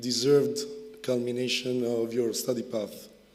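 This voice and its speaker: A man with a medium pitch and fairly even intonation talks amid audible room echo. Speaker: university research director. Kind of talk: ceremony speech. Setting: graduation ceremony. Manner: halting, many fillers.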